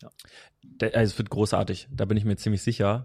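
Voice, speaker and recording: In a very clean recording with a silent background and a dry, close sound with no echo, a man speaks at a fairly low pitch. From Hesse, Germany. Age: 20s. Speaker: strength and conditioning coach. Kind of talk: casual interview. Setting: in person.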